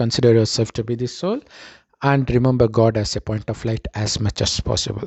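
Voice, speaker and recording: A man speaks at medium pitch. His pace is moderate. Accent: Tamil. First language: Tamil. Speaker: spiritual teacher. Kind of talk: spiritual talk.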